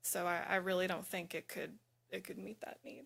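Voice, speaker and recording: Soft-spoken delivery from a woman with fairly low pitch at a moderate pace. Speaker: utility expert witness. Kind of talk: hearing testimony.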